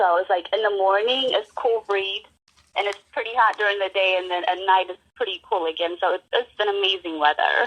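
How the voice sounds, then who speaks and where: Speaking at a fairly quick pace, a woman has a medium pitch and an Ethiopian accent. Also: fairly even intonation. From Ethiopia (Addis Ababa), moved to Savannah, Georgia as a child. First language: Amharic. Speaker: guest. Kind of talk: casual interview.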